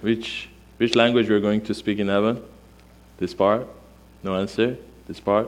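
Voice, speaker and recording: A man with a Persian accent speaks in a fairly low pitch at a moderate pace, with long, frequent pauses. The recording is very clean, with a silent background. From Iran. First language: Armenian. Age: 40s. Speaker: pastor. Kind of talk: sermon. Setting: church. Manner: animated.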